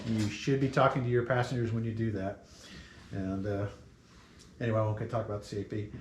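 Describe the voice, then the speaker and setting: A man talks at a very fast pace but with long, frequent pauses, his medium pitch holding fairly even intonation. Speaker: safety presenter, glider pilot. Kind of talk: safety briefing presentation.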